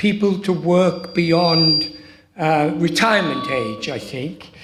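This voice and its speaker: A man with an Australian accent at a very slow pace, ordinary pitch variation, audible room echo and music in the background. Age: 70s. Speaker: audience member. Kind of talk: audience question.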